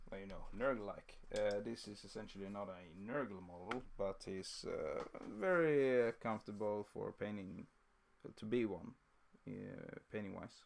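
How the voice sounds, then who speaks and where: A man's voice sits fairly low. He talks at a fairly slow pace. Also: ordinary pitch variation. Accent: Swedish. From southern Sweden (Scania). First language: Swedish. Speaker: miniature painting streamer. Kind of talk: live-stream painting tutorial. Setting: live stream. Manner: halting, many fillers.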